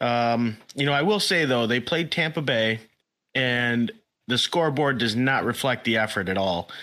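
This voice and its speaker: On a very clean recording with a silent background, a man with a bright, sharp tone talks at a moderate pace and medium pitch with ordinary pitch variation. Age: 30s. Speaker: hockey podcast co-host. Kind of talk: casual chat.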